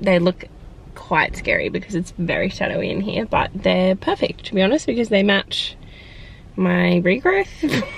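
A woman speaks with an Australian accent. The sound is dry, without echo. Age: 20s. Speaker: vlogger. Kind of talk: casual vlog monologue. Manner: fast, chatty.

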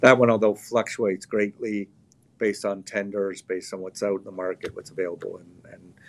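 A man with a Canadian accent. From Canada. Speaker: gun company general manager. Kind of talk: interview. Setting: live video interview. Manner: hesitant, many fillers and repeats. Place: shop. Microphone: video call.

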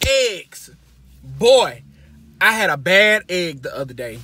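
A man's voice in a dry sound with no echo. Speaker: vlogger. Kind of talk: casual vlog chat, storytelling. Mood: humorous, dramatic. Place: car. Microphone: phone near.

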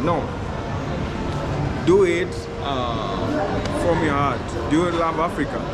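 A man talks with ordinary pitch variation. Music plays in the background. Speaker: content creator giving advice. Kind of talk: interview answer. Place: hall. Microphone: phone near.

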